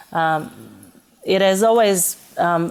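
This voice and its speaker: A woman speaks with an Italian accent. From Italy, Florence. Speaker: restaurant manager. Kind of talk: interview. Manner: halting, many fillers.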